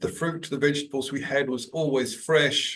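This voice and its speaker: A man with a New Zealand accent and a fairly high pitch. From New Zealand, Auckland. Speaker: executive coach. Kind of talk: podcast interview. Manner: hesitant, many fillers.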